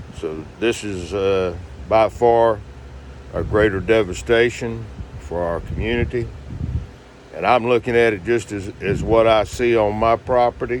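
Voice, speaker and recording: Noticeable background noise sits behind a man speaking at a fairly slow pace and fairly low pitch. His pitch variation is ordinary, and his pauses are long and frequent. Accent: American. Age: 60s. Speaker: hurricane survivor vlogger. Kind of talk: casual video diary. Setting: inside a motorhome. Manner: halting, many fillers.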